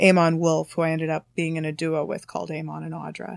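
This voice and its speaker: In a Canadian accent, a woman talks at a moderate pace with a fairly low pitch, in a very clean recording with a silent background. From Canada, Thunder Bay, Ontario. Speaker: singer-songwriter. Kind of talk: casual interview chat. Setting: studio. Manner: hesitant, frequent fillers.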